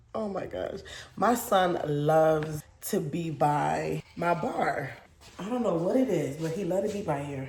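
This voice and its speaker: Speaking at a fairly slow pace, a woman with a fairly low pitch and vocal fry uses an animated tone and lively intonation, with audible room echo around her. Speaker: lifestyle vlogger and mom. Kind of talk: casual vlog talk to camera.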